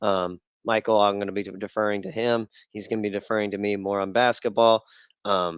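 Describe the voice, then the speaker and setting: Here a man talks at a fairly quick pace. His fairly low voice stays monotone and flat. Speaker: sports podcast host. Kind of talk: casual chat.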